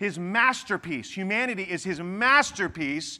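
A man speaks with a high pitch and lively intonation. The recording is very clean, with a silent background. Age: 40s. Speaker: pastor. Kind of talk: sermon.

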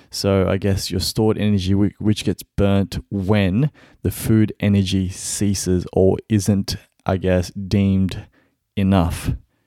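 A man with an Australian accent speaks at a very slow pace in a fairly low pitch with a dark, mellow tone. His intonation is flat and monotone, and his loudness stays very even. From Melbourne, Australia. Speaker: podcast host. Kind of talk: solo podcast monologue. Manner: casual, with many fillers.

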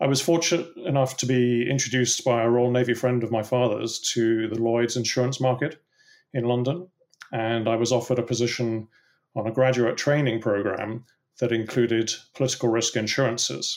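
A man with a British accent, medium pitch, fairly even intonation, very even loudness and a fairly quick pace. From England. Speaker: political risk consultant. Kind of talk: interview answers, professional discussion.

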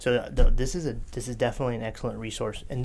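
A man with an American accent talks very fast at a medium pitch. His pitch varies in an ordinary way. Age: 40s. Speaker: podcast host and metaphysical shop owner. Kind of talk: casual chat.

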